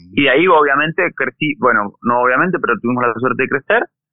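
Lively intonation runs through this man's speech. He has a normal speaking voice with a medium pitch. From Argentina, Bariloche (Patagonia). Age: 40s. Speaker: mountain bike racer and event organizer. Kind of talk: interview conversation.

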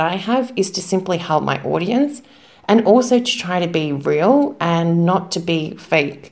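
With an Australian accent, a woman speaks at a fairly slow pace. Her pitch is medium and her intonation is lively. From Melbourne, Australia. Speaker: English teacher, influencer. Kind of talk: recorded interview answer.

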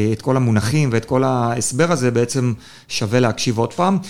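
A man at medium pitch talks at a fairly quick pace in an unremarkable speaking voice. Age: 30s. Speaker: podcast host, lawyer. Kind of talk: interview.

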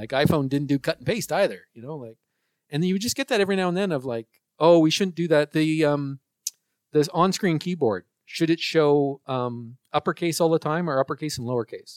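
A normal speaking voice at a fairly quick pace, with ordinary pitch variation and a dry, close sound with no echo. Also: man, fairly high pitch for a man. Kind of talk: casual chat. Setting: podcast interview.

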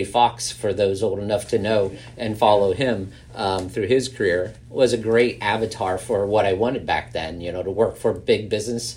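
A man's fairly low, slightly mellow voice with an American accent. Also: ordinary pitch variation, moderate pace.

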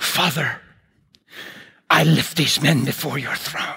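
This is a put-on character voice. It sounds raspy and moves at a fairly slow pace. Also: man, medium pitch for a man. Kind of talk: formal prayer language. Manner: solemn, pious, intense prayer tone.

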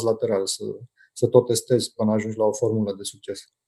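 Dry and close with no echo, a man speaks in a dark, mellow tone and a monotone, flat intonation. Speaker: entrepreneur. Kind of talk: interview. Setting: video call. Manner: halting.

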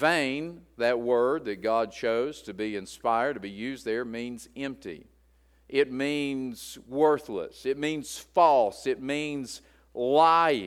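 In an Appalachian accent, a man speaks at a very slow pace with ordinary pitch variation. The recording is very clean, with a silent background. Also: medium pitch for a man. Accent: Appalachian US Southern. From West Virginia. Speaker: pastor. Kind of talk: sermon. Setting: church.

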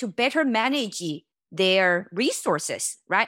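A woman with a Chinese accent speaks at a fairly slow pace with very wide pitch swings, in a very clean recording with a silent background. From China. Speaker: tech company founder and CEO. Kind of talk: interview.

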